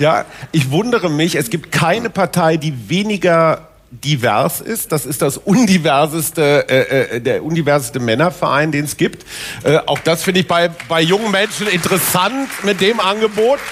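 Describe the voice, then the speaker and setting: Music plays in the background as a man talks at a moderate pace. His pitch is high. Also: lively intonation. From Westphalia. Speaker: newspaper columnist. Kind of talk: panel discussion. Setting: stage with audience.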